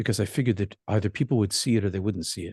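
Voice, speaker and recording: A man with an American accent talks at a fairly low pitch. The sound is dry and close, with no echo. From Boston area, US. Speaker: minister and meditation teacher, near-death experiencer. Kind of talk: talk to support group. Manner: fast.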